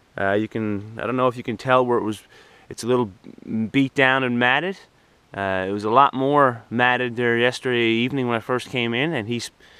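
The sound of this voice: The voice has a bright, sharp tone that is also clear and smooth. It moves at a moderate pace with fairly even intonation. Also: man, medium pitch for a man.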